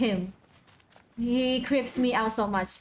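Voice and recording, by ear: At a moderate pace, a woman speaks with fairly even intonation and a fairly high pitch.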